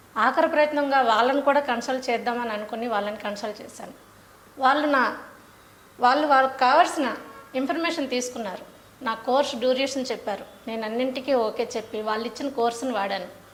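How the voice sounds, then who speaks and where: A woman speaks with a high pitch. Noticeable background noise runs behind her. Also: ordinary pitch variation. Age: 30s. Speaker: stock exchange office worker. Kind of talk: patient testimonial.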